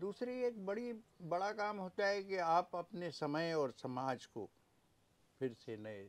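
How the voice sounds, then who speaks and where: A man's voice with very wide pitch swings. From Madhya Pradesh, India. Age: 70s. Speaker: poet. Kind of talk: interview answer.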